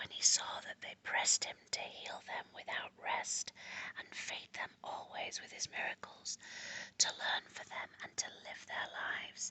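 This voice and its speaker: The speaker is whispering at a fairly slow pace. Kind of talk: ASMR book reading. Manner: whispered.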